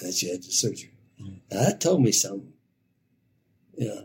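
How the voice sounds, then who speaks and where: A man's voice is somewhat breathy, and his intonation is lively. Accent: American. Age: old. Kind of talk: interview conversation. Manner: halting.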